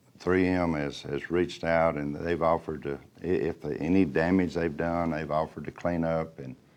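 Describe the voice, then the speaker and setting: Talking at a moderate pace with an Alabama accent, a man speaks in a very deep, low pitch and a monotone, flat intonation. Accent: Southern US (Alabama). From Alabama, US South. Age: 60s. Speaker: local elected official. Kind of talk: interview.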